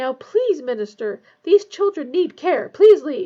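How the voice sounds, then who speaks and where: A woman's squeaky put-on character voice, extremely high in pitch with very wide pitch swings, at a fairly slow pace. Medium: read story. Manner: brisk, insistent.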